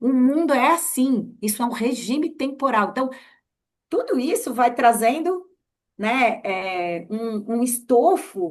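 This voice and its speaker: With lively intonation and a high pitch, a woman speaks over a quiet background. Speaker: journalist and researcher. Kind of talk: casual interview chat. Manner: halting, many fillers and repeats.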